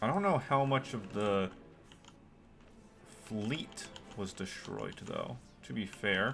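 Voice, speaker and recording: Over background music, the speaker talks at a very slow pace with long, frequent pauses. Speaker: gaming streamer. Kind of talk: live gameplay commentary. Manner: casual, thinking aloud.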